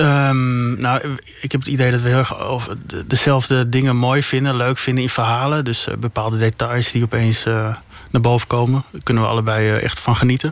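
A man's medium-pitched voice at a fairly quick pace, monotone and flat, over noticeable background noise. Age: 30s. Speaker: investigative journalist. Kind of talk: interview. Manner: halting, many repetitions.

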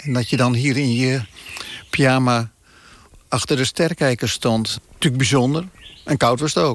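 At a medium pitch and moderate pace, a man talks with fairly even intonation, very even loudness, and long, frequent pauses. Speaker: family member of host. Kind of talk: casual reminiscing. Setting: on location at old family house.

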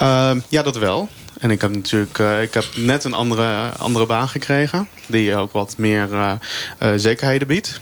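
Over noticeable background noise, a man with a medium pitch speaks at a moderate pace with ordinary pitch variation. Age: 30s. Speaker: meal delivery courier, flex worker. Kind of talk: live radio debate. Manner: halting.

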